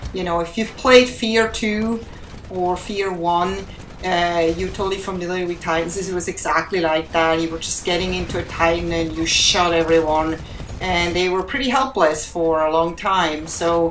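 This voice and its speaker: A woman with a strong non-native accent speaks at a fairly low pitch with ordinary pitch variation, against noticeable background noise and audible room echo. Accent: heavy foreign. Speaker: gaming YouTuber. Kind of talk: gameplay commentary. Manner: deliberately not too fast; casual, filler-heavy.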